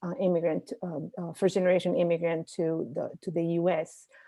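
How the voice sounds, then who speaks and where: In a Spanish accent, a woman speaks at a moderate pace. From Dominican Republic, Santiago (Cibao region). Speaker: professor. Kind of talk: interview. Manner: halting, many fillers.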